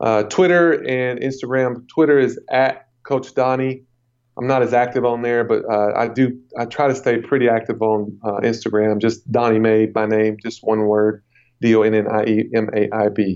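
Fairly even intonation runs through the speech. It is a normal speaking voice at a moderate pace. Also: man, medium pitch for a man. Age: 40s. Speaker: strength and conditioning coach. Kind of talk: interview. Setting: phone call.

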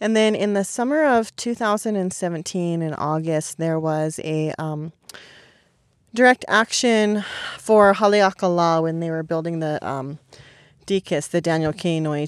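In an American accent, a woman with an ordinary speaking voice talks at a moderate pace with a fairly low pitch and lively intonation, on a very clean recording with a silent background. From California. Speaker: protest medic organizer. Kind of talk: podcast interview. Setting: outdoors at a protest camp.

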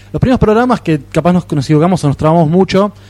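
Noticeable background noise sits behind a man's voice. He speaks with a high pitch and ordinary pitch variation. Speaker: podcast co-host. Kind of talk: casual chat. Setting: live podcast festival table.

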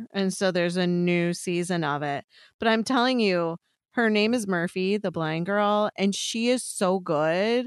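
Her voice sits at medium pitch with ordinary pitch variation. The woman speaks fairly slowly in an American accent. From US Midwest, Chicago suburbs, Illinois. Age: 50s. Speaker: podcast co-host. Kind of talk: casual chat. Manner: animated.

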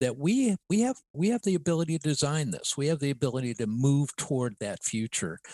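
A man with an American accent speaks at a fairly high pitch, his voice swinging very widely up and down. The sound is dry and close with no echo, over a quiet background. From Ohio. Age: 70s. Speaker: university strategy lab director. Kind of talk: interview conversation.

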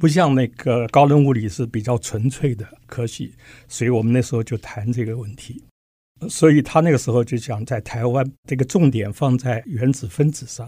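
At a moderate pace, the dark, mellow tone carries ordinary pitch variation and is somewhat breathy. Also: man. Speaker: physics professor. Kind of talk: interview.

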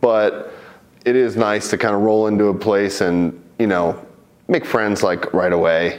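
A plain, everyday voice from a man, fairly low in pitch, at a moderate pace. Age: 30s. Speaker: MMA fighter. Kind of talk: interview.

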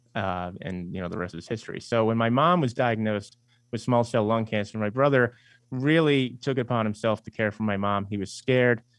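With a New York accent, a man speaks at a fairly quick pace. His pitch is medium, with ordinary variation. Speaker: investment firm CEO and author. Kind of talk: radio interview.

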